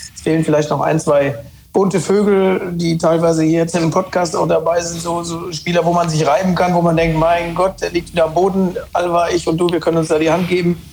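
Over noticeable background noise, a man speaks at a fairly quick pace in a high pitch, with monotone, flat intonation and very even loudness. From Rhineland-Palatinate, Germany. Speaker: former footballer. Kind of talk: casual football talk. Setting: remote call.

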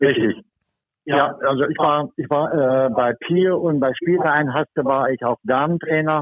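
The speech moves at a fairly slow pace, with very even loudness and ordinary pitch variation. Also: man, fairly high pitch for a man. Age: 60s. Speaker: football referee. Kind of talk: casual interview. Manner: hesitant, many fillers.

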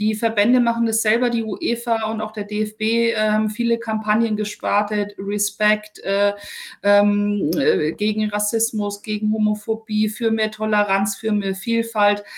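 A woman at a fairly high pitch, with a fairly slow pace and monotone, flat intonation. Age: 40s. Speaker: sports reporter. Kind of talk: interview. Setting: remote call. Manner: calm.

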